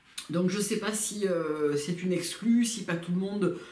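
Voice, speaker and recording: A woman talks in a space with audible room echo, with noticeable background noise present too. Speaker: beauty youtuber. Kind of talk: product review vlog. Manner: hesitant, many fillers.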